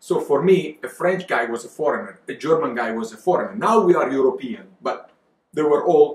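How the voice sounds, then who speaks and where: A man with an Italian accent talks at a fairly quick pace in a fairly high pitch. Audible room echo surrounds his voice. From Italy, Verona area (Veneto). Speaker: winemaker and wine exporter. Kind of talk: casual interview chat. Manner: animated. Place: home room.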